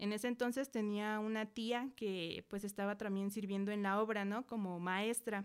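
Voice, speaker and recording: Her loudness stays very even as this woman talks at a medium pitch in a monotone, flat intonation. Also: moderate pace, hardly any pauses. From central Mexico. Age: 20s. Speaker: church member and Sunday school teacher. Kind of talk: testimony.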